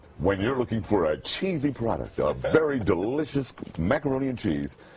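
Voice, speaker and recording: Pitch swings very widely at a moderate pace, with noticeable background noise behind the voice. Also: man, medium pitch for a man. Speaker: radio announcer. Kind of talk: TV commercial read.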